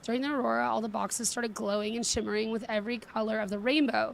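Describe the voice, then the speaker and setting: A woman puts on a raspy character voice at a fairly high pitch, talking at a very fast pace with fairly even intonation. Clear background noise runs underneath. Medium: game stream.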